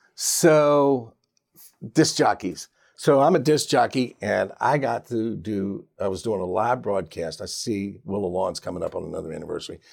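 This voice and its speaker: An American accent carries an ordinary speaking voice at a moderate pace with lively intonation. The recording is very clean, with a silent background. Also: man, medium pitch for a man. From Richmond, Virginia. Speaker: radio disc jockey. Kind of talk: casual interview chat.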